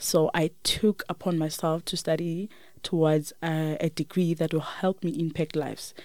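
A woman with a South African accent, fairly low-pitched, with a dark, mellow tone, fairly even intonation and a moderate pace, on a very clean recording over a silent background. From South Africa, Limpopo. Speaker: teacher. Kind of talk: interview. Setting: studio. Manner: soft-spoken; quiet.

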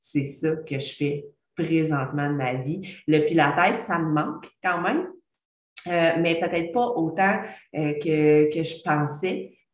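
Her pitch very deep and low, a woman speaks at a very slow pace with ordinary pitch variation, and the room echo is audible. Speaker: podcast host, former teacher. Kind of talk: casual monologue. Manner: chatty, hesitant with fillers.

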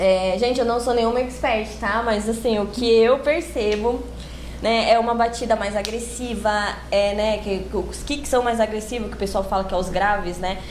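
Against noticeable background noise and audible room echo, a woman speaks at a moderate pace in a fairly high voice with fairly even intonation. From São Paulo, São Miguel Paulista (east zone periphery). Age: young. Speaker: funk singer. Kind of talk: podcast interview.

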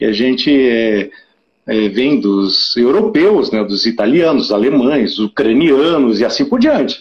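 Lively intonation marks this man's delivery. He talks at a very slow pace. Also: medium pitch for a man. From southern Brazil, Curitiba. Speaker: blood donation campaigner. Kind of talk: casual interview.

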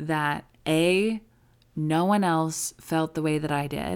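On a very clean recording over a silent background, a woman speaks at a very deep, low pitch. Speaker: recovery podcast host and coach. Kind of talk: solo podcast monologue, with advice and a direct, angry-sounding rant at 6:42.

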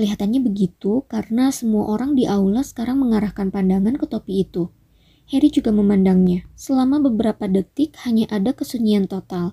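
On a very clean recording with a silent background and a dry, close sound with no echo, a woman speaks fairly quickly in a fairly high, dark, mellow and somewhat breathy voice with ordinary pitch variation. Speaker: audiobook narrator. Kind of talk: dramatic audiobook narration of a fantasy story, with suspenseful, storytelling delivery.

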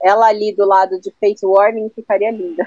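A woman with a fairly high pitch speaks in a dry, close sound with no echo. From Brazil, São Paulo area. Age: 30s. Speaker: music journalist and radio presenter. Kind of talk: casual chat. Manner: animated.

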